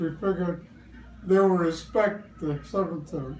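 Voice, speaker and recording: A man speaks at a high pitch and a moderate pace. Behind him is noticeable background noise. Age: 90s. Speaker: war veteran. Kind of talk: interview answer. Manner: hesitant, hard to follow.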